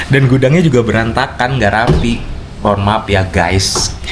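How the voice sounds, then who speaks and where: A medium-pitched man at a moderate pace over noticeable background noise. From Indonesia, outside Papua. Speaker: vlogger. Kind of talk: casual vlog talk. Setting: room at home.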